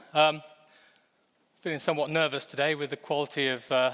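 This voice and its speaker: A man with an English accent, a bright, sharp tone and monotone, flat intonation at a moderate pace. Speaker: fintech executive. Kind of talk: conference presentation. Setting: stage with audience.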